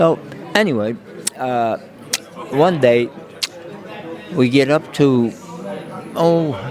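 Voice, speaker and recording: With crowd noise behind him and audible room echo, a man at medium pitch talks at a very slow pace, leaving long, frequent pauses. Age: 80s+. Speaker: war veteran. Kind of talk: interview, personal war stories. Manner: halting, with many fillers and repetitions.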